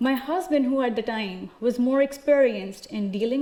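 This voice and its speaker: With an American accent, a woman speaks at a fairly high pitch and a moderate pace. Her pitch variation is ordinary. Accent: Indian English adapted toward American. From India. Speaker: speaker sharing personal story. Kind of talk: prepared public talk. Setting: auditorium stage with audience.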